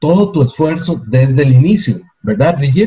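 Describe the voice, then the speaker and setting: A man's dark, mellow voice, somewhat breathy, with lively intonation. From Costa Rica. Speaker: network marketing presenter. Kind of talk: sales pitch. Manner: animated.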